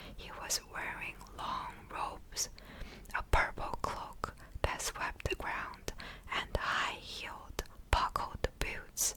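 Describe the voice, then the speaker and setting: Whispering at a very slow pace, a woman is heard over noticeable background noise. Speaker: ASMR creator. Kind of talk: whispered book reading for sleep. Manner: whispered, soft.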